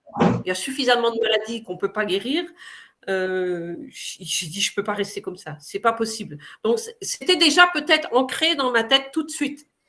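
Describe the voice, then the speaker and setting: With a bright, sharp tone and a fairly high pitch, a woman talks at a moderate pace, her voice making very wide pitch swings and big swings in loudness. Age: 60s. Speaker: patient giving a testimony. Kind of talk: testimony. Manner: hesitant, many fillers.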